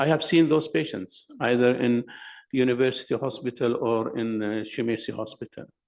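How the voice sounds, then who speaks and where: A man with an Arabic accent speaks at medium pitch and a moderate pace. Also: ordinary pitch variation. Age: 60s. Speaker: professor of endocrinology. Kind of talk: conference presentation.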